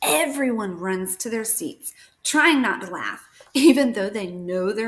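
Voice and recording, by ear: Someone is reading aloud in a natural voice. Lively intonation runs through it.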